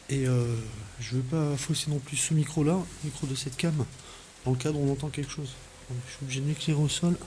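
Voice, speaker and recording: This man talks softly at a fairly quick pace, his tone dark and mellow and somewhat breathy. His delivery is monotone and flat, broken by long, frequent pauses. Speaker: urban explorer and paranormal investigator. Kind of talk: on-location exploration vlog. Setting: inside an abandoned fort at night. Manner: soft-spoken; hesitant with fillers.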